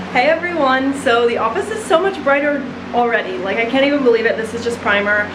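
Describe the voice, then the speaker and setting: Over noticeable background noise and audible room echo, a woman talks loudly at a very fast pace, her high pitch carrying lively intonation. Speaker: home renovation vlogger. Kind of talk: casual vlog talk. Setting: house under renovation. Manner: animated.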